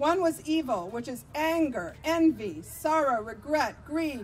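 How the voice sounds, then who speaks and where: Shouting in a high pitch with a warm tone, a woman speaks with an American accent and lively intonation. Music plays in the background. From Vermont, US. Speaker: activist and political candidate. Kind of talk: impassioned outdoor rally speech against militarism, stacking budget figures. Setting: rally with live audience. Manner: fiery and rousing, repeating lines like 'It's monstrous' for emphasis; warm and engaged with the crowd, laughing at their shouts. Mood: earnest, persuasive. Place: street. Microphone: podium.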